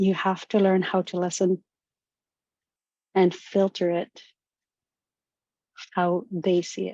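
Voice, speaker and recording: Heard in a dry, close sound with no echo, a woman with a Canadian Arctic accent speaks at a very slow pace, her medium pitch held in a monotone, flat intonation. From Nunavut, Canadian Arctic. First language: Inuktitut. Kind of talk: webinar talk. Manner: halting.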